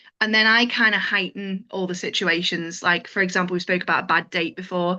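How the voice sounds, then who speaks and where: A woman speaks at a fairly quick pace in a bright, sharp tone with fairly even intonation. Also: medium pitch for a woman. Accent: Liverpool. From Liverpool. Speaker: stand-up comedian. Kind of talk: interview answer.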